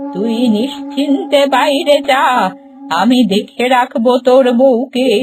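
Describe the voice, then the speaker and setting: A woman's cartoonish character voice, high in pitch and very slow, over clear music in the background. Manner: commanding, motherly.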